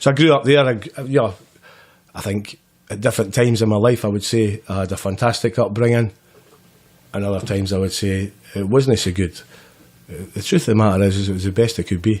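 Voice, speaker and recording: With a Scottish central belt accent, a man speaks very fast at a fairly low pitch with ordinary pitch variation and long, frequent pauses. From Scotland, Grangemouth near Glasgow. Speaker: person in addiction recovery. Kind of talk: podcast interview, life story. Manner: casual, hesitant with repetitions.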